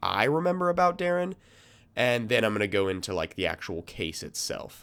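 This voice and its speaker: A man at a moderate pace with very wide pitch swings, on a very clean recording against a silent background. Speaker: true crime podcast host. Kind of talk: casual podcast narration. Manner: casual, filler-heavy.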